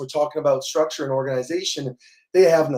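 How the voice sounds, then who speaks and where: In an American accent, a man speaks at a fairly quick pace with a fairly high pitch and fairly even intonation. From US South, New Orleans, Louisiana. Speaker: beer marketing agency co-founder. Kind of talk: podcast interview.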